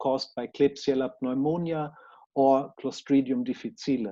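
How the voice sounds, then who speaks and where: With a German accent, a man speaks at a fairly high pitch and a fairly slow pace, his dark, mellow tone showing ordinary pitch variation over a quiet background. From Germany. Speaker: researcher. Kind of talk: conference presentation. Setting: conference talk. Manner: formal.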